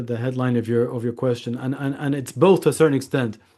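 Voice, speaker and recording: This man talks very fast in a Scottish accent, his pitch sitting in the medium range. His tone is dark and mellow, and the background is quiet. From Scotland. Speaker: lawyer and author. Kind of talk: interview. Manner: halting.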